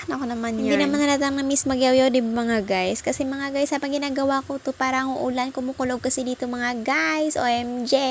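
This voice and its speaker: In an animated tone, a woman with a high pitch speaks at a fairly quick pace. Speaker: vlogger. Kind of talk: vlog voice-over narration. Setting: recording at home at night.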